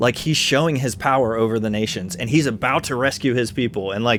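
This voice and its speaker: A man speaks with music in the background. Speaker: Bible teacher. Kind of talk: casual chat.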